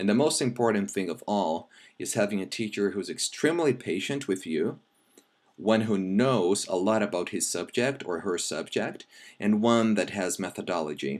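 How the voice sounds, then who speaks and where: This is a very clean recording with a silent background. The speaker has a Brazilian accent. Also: man. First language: Brazilian Portuguese. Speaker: language teacher. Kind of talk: tutorial; self-introduction pitch.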